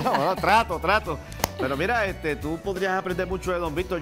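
A man speaks very fast in a high voice with ordinary pitch variation. Clear music plays in the background. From Puerto Rico. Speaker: TV show host. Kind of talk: TV talk show hosting. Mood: playful, teasing. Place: studio. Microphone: lapel.

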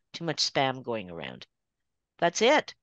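A woman speaks with a Canadian accent and vocal fry. The sound is dry with no echo, over a quiet background. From Toronto, Canada. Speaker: watercolor artist. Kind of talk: casual presentation. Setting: video call. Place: home room. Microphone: video call.

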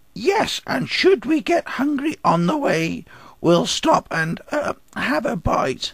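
A man does a cartoonish character voice at an extremely high pitch. His pitch swings very widely as he talks at a fairly slow pace. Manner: eager, greedy.

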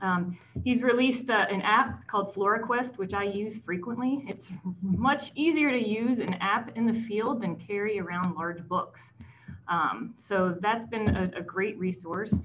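A woman talks fairly slowly, her pitch varying in an ordinary way, as light background noise plays. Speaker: host introducing a speaker. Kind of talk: speaker introduction. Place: home room. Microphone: video call.

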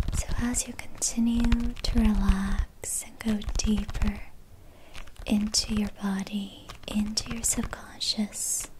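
The voice is soft-spoken and moves at a very slow pace. Noticeable background noise sits behind it. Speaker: meditation guide. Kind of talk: guided meditation. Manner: whispered; soft-spoken, slow. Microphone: studio mic.

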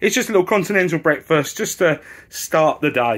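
In a British accent, a man with a high voice speaks at a moderate pace on a very clean recording with a silent background. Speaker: travel vlogger. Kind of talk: casual travel vlog narration. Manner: animated.

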